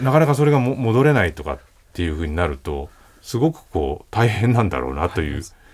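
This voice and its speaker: The speech comes very fast, with very wide pitch swings. Vocal fry runs through it. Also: man, fairly low pitch for a man. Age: 40s. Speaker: writer and radio host. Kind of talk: casual chat. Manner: measured, articulate.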